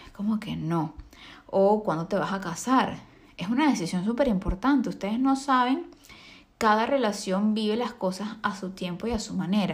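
A woman's somewhat breathy voice, fairly high in pitch, at a moderate pace with ordinary pitch variation. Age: 20s. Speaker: podcast host and makeup artist. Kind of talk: solo monologue podcast.

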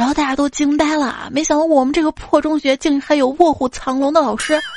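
Here a woman speaks against a quiet background. The sound is dry and close, with no echo. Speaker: podcast host. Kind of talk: reading jokes aloud. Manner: animated, laughs often.

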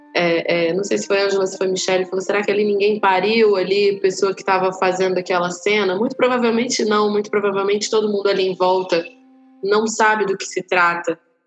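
A woman's medium-pitched, fairly quick, monotone and flat delivery amid noticeable background noise. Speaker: actress and doula. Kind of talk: casual chat.

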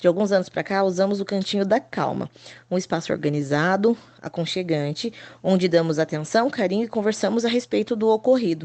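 Here is a woman with an ordinary speaking voice at medium pitch. She keeps a moderate pace and ordinary pitch variation. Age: 30s. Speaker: preschool teacher. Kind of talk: scripted narration.

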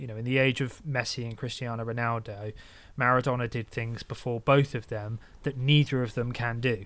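A man speaks at a medium pitch and a fairly quick pace, with fairly even intonation. The recording is very clean, with a silent background. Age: 30s. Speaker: football podcast host. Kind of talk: casual chat. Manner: solemn tone.

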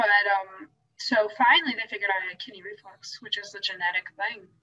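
A woman's bright, sharp tone at a medium pitch, at a moderate pace. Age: 30s. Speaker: podcast guest, mother of three. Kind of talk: casual chat.

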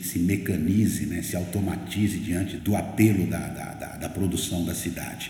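A man speaks with a very deep, low pitch and fairly even intonation at a moderate pace. Audible room echo and noticeable background noise surround him. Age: 60s. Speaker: writer and journalist. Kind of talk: interview conversation.

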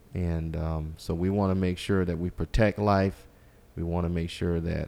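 A man speaks in a South Carolina accent at a very deep, low pitch. His delivery is monotone and flat, at a fairly slow pace. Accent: US Southern, South Carolina. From South Carolina Lowcountry, Walterboro. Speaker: congressional candidate, attorney. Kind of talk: interview.

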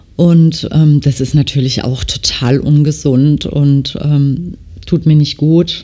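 Very slowly and in a monotone, flat delivery, a woman speaks with a very deep, low pitch, a dark, mellow tone, and very even loudness. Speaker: nail technician and podcast host. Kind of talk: casual monologue. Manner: frequent filler hesitations.

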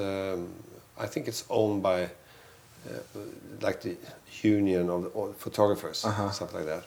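A man with a Swedish accent talks at a moderate pace. His pitch is fairly low and his intonation fairly even. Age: 40s. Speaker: photographer. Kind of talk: casual chat.

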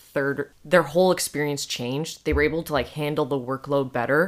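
A woman's voice sits very deep and low, bright and sharp in tone. She talks at a fairly quick pace with ordinary pitch variation. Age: 20s. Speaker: university student. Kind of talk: casual chat.

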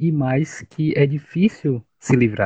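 A man's fairly high, somewhat breathy voice at a very slow pace, with ordinary pitch variation and a dry, close sound with no echo. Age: 30s. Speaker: live stream host discussing academic life. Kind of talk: casual discussion. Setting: online live stream.

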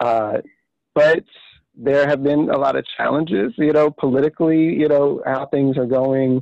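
Speaking at a moderate pace, a man with a fairly high voice talks in an American accent. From Washington DC area. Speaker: community event organizer. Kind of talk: casual interview. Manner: halting, repeats words.

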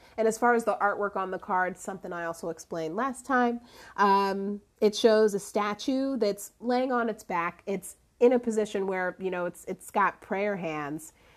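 Against a quiet background, a woman talks at a moderate pace in a normal speaking voice with ordinary pitch variation. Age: 30s. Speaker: podcast host and life coach. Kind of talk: casual solo talk and tarot reading. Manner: laughs often, relaxed.

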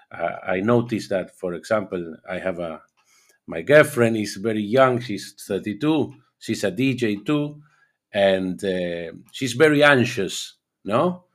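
In a very clean recording with a silent background, a man with an Argentine accent speaks at a fairly slow pace with lively intonation. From Argentina. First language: Spanish. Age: 50s. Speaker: DJ. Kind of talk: interview. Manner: halting.

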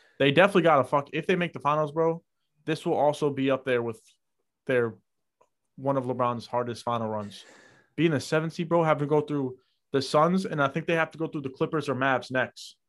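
A man with an American accent and a plain, everyday voice speaks at a fairly quick pace in a fairly high pitch, on a very clean recording with a silent background. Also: ordinary pitch variation. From New York. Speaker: podcast co-host. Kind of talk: casual chat.

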